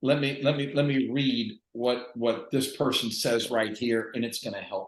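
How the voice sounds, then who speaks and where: A man talks at a moderate pace with a medium pitch. His intonation stays fairly even. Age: 60s. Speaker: book contributor. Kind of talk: interview. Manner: halting.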